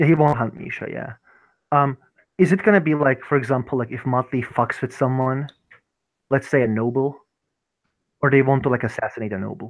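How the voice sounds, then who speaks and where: A man with a non-native accent speaks at a fairly quick pace but with long, frequent pauses, using medium pitch and ordinary pitch variation. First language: not English. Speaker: tabletop roleplay player. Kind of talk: tabletop roleplay session. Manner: halting, many fillers.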